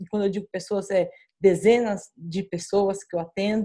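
Here is a plain, everyday voice with fairly even intonation at a moderate pace. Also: woman. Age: 40s. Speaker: pastor. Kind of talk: casual chat.

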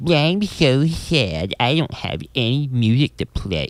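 A man does a put-on character voice at a medium pitch with very wide pitch swings. He speaks at a fairly slow pace in a dry, close sound with no echo. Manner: mopey, droopy.

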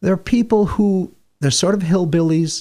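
This speaker has an American accent and talks at a moderate pace. The voice is somewhat breathy. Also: man. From Warwick, New York. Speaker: radio host. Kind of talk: casual chat. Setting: studio.

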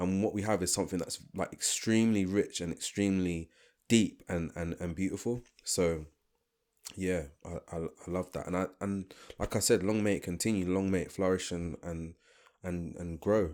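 A man speaks in a London accent with fairly even intonation. His pitch is very deep and low. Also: moderate pace. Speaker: podcast co-host. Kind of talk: casual chat. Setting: video call.

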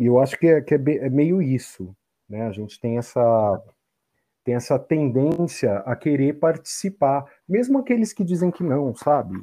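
A man's normal speaking voice, fairly high in pitch, with lively intonation at a fairly slow pace. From Brazil, São Paulo. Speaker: photographer and psychology student. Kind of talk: casual chat.

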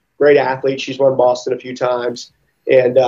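A man with an American accent, medium pitch, dark, mellow tone and moderate pace. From US South, Mississippi. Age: 30s. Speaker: gym owner and fitness athlete. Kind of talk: casual interview. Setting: video call from a gym recovery room.

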